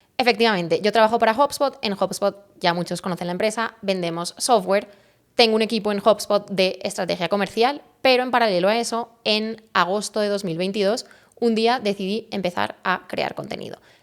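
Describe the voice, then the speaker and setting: Here a woman talks at a fairly quick pace. Her intonation stays fairly even. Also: medium pitch for a woman. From Spain, Valencia. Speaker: personal branding expert. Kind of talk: interview.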